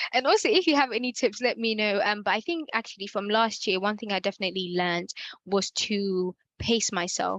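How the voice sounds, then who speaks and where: A woman's unremarkable speaking voice at medium pitch, with a fairly quick pace and ordinary pitch variation. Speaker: workshop facilitator. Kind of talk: Q&A in online workshop.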